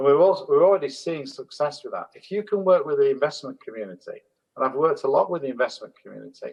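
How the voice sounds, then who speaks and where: Speaking at a very fast pace, a man's voice makes big swings in loudness. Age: 60s. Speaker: holistic management consultant and trainer. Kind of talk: panel discussion.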